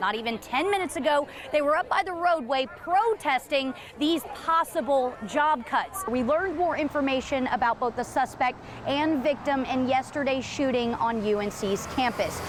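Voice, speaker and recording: Over noticeable background noise, a woman speaks at a high pitch and a moderate pace with lively intonation. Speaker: TV news reporter. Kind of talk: TV news live shots and standups.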